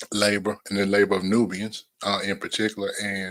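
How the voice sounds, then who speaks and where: A man with a North Carolina accent speaks at a fairly low pitch in a bright, sharp tone with flat, monotone intonation. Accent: Southeast North Carolina, country. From US South, southeast North Carolina. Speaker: podcast host. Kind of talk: solo livestream podcast talk. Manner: hesitant, many fillers.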